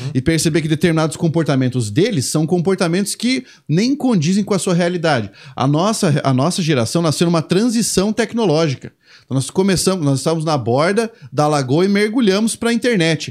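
On a very clean recording with a silent background, a man with a high pitch speaks at a fairly quick pace, his intonation lively and his loudness very even. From Brazil. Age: 30s. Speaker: Portuguese language teacher. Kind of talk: casual chat.

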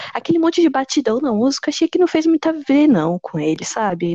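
A woman speaks at a fairly quick pace with very wide pitch swings. The sound is dry and close, with no echo. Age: 20s. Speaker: history student, podcast co-host. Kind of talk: casual chat.

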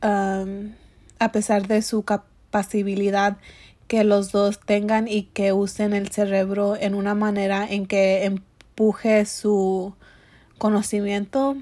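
At a slow pace and medium pitch, a woman speaks in a dark, mellow tone with monotone, flat intonation.

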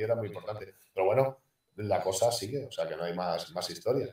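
A man talks at a very fast pace. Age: 50s. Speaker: retired basketball player. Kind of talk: casual interview. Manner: halting.

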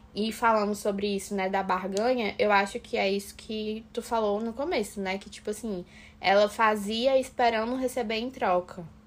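A woman speaks in an ordinary speaking voice at a moderate pace, her fairly high pitch held to fairly even intonation with hardly any pauses. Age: 20s. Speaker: architecture student, host's sister. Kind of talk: casual chat.

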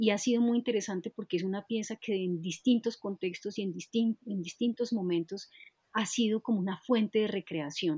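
Somewhat breathy and dark, mellow in tone, a woman speaks at a moderate pace and medium pitch with ordinary pitch variation, the sound dry and close with no echo. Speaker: podcast host, dance researcher. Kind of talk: interview conversation.

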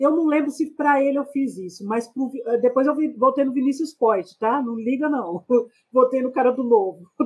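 Her voice is high-pitched, with ordinary pitch variation. The woman keeps a moderate pace. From Brazil, São Paulo city (Capão Redondo). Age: 40s. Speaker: podcast guest. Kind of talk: casual interview.

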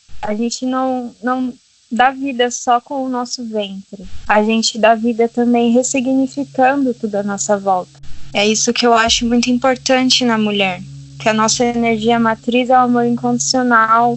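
A woman with a normal speaking voice, fairly high pitch, fairly even intonation and a moderate pace. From Brazil, Minas Gerais. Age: 20s. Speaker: holistic therapist. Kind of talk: casual interview.

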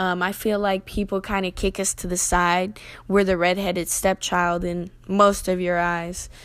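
A woman speaks at a fairly slow pace with a Southern US accent and a medium pitch. The recording is very clean, with a silent background. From US South. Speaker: podcast host. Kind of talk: podcast monologue.

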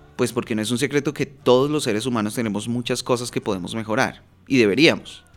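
An unremarkable speaking voice from a man, medium in pitch, at a fairly quick pace with fairly even intonation. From Bogotá, Colombia. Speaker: podcast host, personal development coach. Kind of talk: solo podcast monologue.

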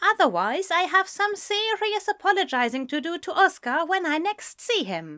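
A woman speaks in a put-on character voice at an extremely high pitch, with big pitch swings and a bright, sharp tone. Her pace is moderate, and the recording is very clean with a silent background.

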